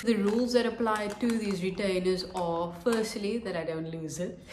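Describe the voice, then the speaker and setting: Audible room echo and light background noise surround the voice. Its pitch varies in an ordinary way. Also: woman. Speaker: vlogger. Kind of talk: vlog. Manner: casual. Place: home room. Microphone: phone near.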